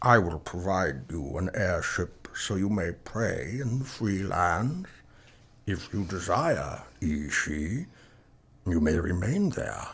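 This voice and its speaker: Using a put-on character voice, a man speaks very slowly at a very deep, low pitch with lively intonation. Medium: audio drama. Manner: commanding, measured.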